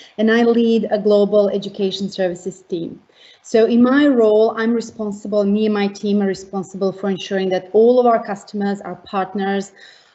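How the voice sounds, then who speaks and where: A woman speaks with a Montenegrin accent at a medium pitch and a fairly quick pace. Her pitch varies in an ordinary way. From Montenegro. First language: Montenegrin/Serbian. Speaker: tech education team leader. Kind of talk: panel introduction.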